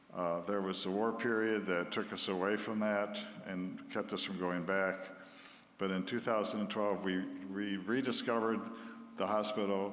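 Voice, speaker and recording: In a room with audible echo, a man speaks at a moderate pace and a fairly low pitch. His intonation is monotone and flat, and his loudness stays very even. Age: 80s+. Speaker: missionary doctor. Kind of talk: church talk.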